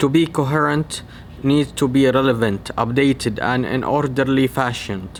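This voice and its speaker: A man at medium pitch with ordinary pitch variation and a fairly slow pace, over noticeable background noise. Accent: non-native. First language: not English. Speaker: medical researcher / educational YouTuber. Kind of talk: tutorial.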